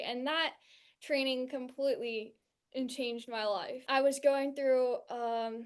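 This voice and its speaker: A woman's high-pitched, monotone, flat delivery at a fairly slow pace, with a West Coast US accent. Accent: General American (West Coast). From California, US. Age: 20s. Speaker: NLP coach and trainee. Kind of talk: testimony. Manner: halting, with repeated words.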